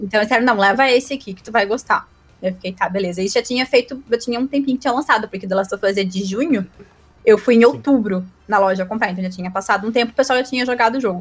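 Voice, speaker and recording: This woman talks at a very fast pace. Her fairly high pitch shows ordinary variation. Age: 20s. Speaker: advertising professional and streamer. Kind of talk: casual chat.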